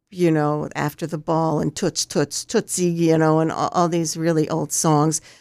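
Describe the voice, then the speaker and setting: In a very clean recording with a silent background and a dry, close sound with no echo, a woman speaks in a very deep, low pitch with fairly even intonation. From Wilmington, Delaware. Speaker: community radio DJ. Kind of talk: interview.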